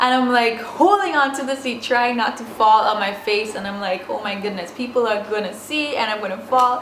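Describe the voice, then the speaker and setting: Over noticeable background noise and audible room echo, a woman talks with ordinary pitch variation. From Saint Vincent. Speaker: vlogger. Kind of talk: storytime vlog. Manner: casual, many fillers.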